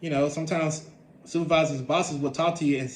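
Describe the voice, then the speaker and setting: A man talks at a very fast pace in a somewhat breathy voice, with audible room echo. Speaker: vlogger sharing personal experiences. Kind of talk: personal storytelling monologue. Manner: halting, many repetitions.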